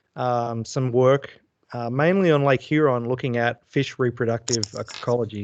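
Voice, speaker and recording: A man with an Australian accent and fairly even intonation, against a quiet background. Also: dry, close sound with no echo. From Australia (Brisbane). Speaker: fisheries scientist and professor. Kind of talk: presentation to a club meeting. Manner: hesitant, many fillers.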